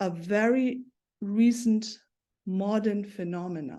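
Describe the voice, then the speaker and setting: Speaking at a very slow pace, a woman has a dark, mellow tone, a fairly high pitch and fairly even intonation. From East Asia (Taiwan / South Korea). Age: 60s. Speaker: guest speaker. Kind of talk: personal testimony. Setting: video call. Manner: halting.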